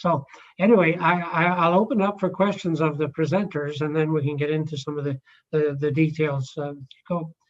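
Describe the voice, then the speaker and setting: With a Scottish accent, a man talks at a moderate pace in a fairly high voice with fairly even intonation. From Scotland. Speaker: committee chair. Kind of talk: meeting chairing. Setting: video call.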